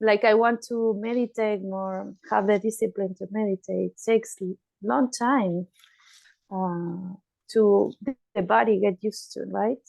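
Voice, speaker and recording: A woman speaks with a non-native accent. Her pace is fairly slow and her intonation fairly even. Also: medium pitch for a woman. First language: not English. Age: 50s. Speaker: meditation group participant and student. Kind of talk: group discussion.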